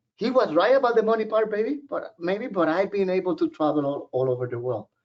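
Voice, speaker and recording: A high-pitched man talks very fast, his pitch swinging very widely. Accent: Puerto Rican. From Puerto Rico, San Juan. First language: Spanish. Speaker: professor. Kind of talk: webinar presentation. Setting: online webinar. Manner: casual, conversational.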